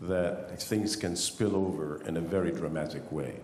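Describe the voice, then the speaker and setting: A man with an Arabic accent speaks at a fairly slow pace with ordinary pitch variation. Noticeable background noise and audible room echo surround him. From Egypt. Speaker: audience member asking a question. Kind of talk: question at a panel Q&A. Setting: conference hall with audience.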